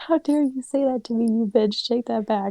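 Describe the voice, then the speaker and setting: A woman puts on a growling character voice, pitched fairly high, with ordinary pitch variation and a moderate pace. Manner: angry, growling.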